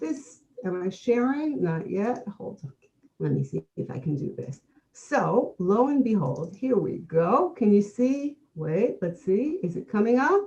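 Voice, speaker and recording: Speaking at a fairly slow pace, a woman with a dark, mellow tone and vocal fry stays at a medium pitch but makes very wide pitch swings. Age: 60s. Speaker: historian, conference co-host. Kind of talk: conference talk.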